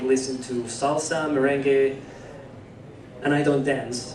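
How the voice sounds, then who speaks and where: With a fairly high pitch and monotone, flat intonation, a man speaks at a moderate pace amid audible room echo and noticeable background noise. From Venezuela. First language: Spanish. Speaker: musician, panel guest. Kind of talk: panel talk.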